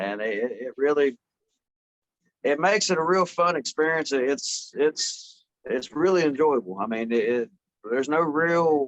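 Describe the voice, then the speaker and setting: A man with an American accent has an ordinary speaking voice at a fairly high pitch with ordinary pitch variation. The sound is dry and close, with no echo. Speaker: metal band member. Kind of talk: interview answer.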